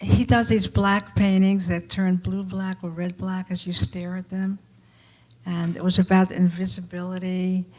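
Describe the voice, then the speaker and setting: A woman with an American accent speaks at a fairly slow pace in a medium pitch, her intonation fairly even and her voice somewhat breathy. Her loudness swings widely, and the recording is very clean with a silent background. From New York, Brooklyn. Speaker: artist. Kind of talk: panel discussion.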